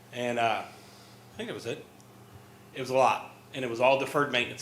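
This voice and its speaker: Through noticeable background noise and audible room echo, a man talks at a very fast pace with fairly even intonation. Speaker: former school district administrator. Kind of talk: presentation. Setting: school board meeting. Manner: loud.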